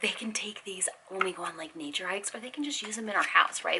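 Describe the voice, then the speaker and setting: Quiet but animated in tone, a woman talks very fast over noticeable background noise. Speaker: homeschooling parent vlogger. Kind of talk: casual haul video. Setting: home.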